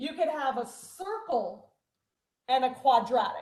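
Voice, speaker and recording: Audible room echo surrounds a woman who talks loudly and fairly slowly at a high pitch with lively intonation. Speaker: math teacher. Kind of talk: online class lecture.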